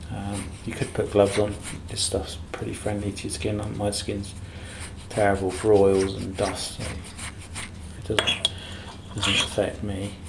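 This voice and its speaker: Noticeable background noise underlies a man speaking at a fairly slow pace with long, frequent pauses. His fairly low voice stays monotone and flat. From UK. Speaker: coin collector demonstrating cleaning. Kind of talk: tutorial. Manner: self-deprecating, casual, hesitant with many fillers. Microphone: phone near.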